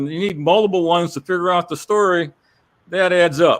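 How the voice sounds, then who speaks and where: A man speaks with a high pitch. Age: 70s. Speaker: cancer survivor and independent court reporter. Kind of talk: casual chat. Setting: studio. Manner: hesitant, many fillers and repeats.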